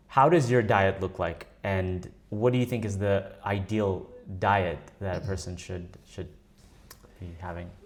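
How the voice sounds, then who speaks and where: Using a plain, everyday voice, a man with fairly low pitch and ordinary pitch variation speaks at a fairly slow pace with big swings in loudness. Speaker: podcast host. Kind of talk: podcast interview.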